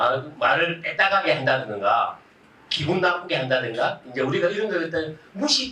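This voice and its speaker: Speaking in a strong Gyeongsang accent, a man with a high pitch talks in an animated tone at a moderate pace, with audible room echo around him. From Gyeongsang, South Korea. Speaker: Buddhist monk giving a public lecture. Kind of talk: public lecture with audience interaction. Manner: animated, conversational.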